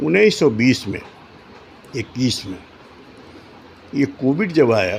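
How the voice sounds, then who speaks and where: Noticeable background noise runs behind the speaker. He is a man with a medium-pitched voice. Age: 70s. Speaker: retired doctor turned politician. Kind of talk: interview. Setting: office room. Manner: halting.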